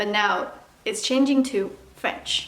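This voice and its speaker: Delivery is fairly slow with fairly even intonation. Noticeable background noise and audible room echo fill the recording. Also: woman. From China. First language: Mandarin. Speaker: vlogger. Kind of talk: casual tutorial vlog. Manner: casual, chatty.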